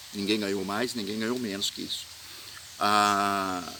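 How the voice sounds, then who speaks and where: A man is speaking. Background noise is noticeable. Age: 60s. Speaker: festival organizer. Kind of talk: video statement. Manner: hesitant, many fillers.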